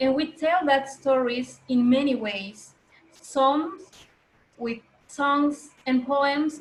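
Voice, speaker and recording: At a very slow pace, a woman speaks with a high-pitched voice. Her pitch variation is ordinary. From Mexico, Maya. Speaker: workshop facilitator and singer. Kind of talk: workshop presentation. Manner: halting, with fillers.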